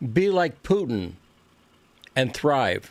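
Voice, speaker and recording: A man's very slow, fairly high-pitched speech with lively intonation. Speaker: political commentator. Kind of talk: monologue presentation. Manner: halting; not smooth.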